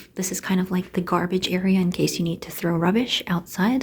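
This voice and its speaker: A woman speaks quietly at a moderate pace, somewhat breathy. Her pitch is fairly low and her tone dark and mellow. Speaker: student vlogger. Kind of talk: walkthrough vlog. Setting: indoors, walking through a residence building. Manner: quieter, lowered voice.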